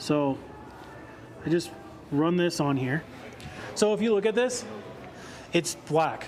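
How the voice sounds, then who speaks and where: The speaker has an American accent and lively intonation, with long, frequent pauses. Room echo is audible. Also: man, high pitch for a man. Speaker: car detailing presenter. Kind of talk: live product demonstration. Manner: casual, conversational.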